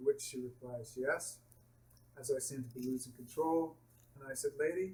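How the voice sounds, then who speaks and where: A somewhat breathy man's voice of medium pitch, with fairly even intonation, a moderate pace, and big swings in loudness. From Canada. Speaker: patient telling his malpractice story. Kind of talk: personal testimony.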